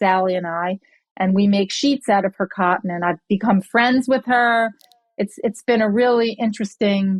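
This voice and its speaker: An unremarkable speaking voice belongs to a woman of medium pitch, talking at a moderate pace with ordinary pitch variation. The sound is dry and close, with no echo. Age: 60s. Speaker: entrepreneur. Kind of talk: interview. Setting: podcast.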